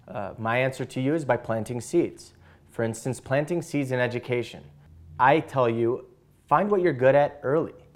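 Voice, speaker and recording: Speaking with an American accent, a man talks at a moderate pace and medium pitch with ordinary pitch variation on a very clean recording with a silent background. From Chicago, Illinois. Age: 20s. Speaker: patient advocate. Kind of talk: presentation. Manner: halting, many fillers.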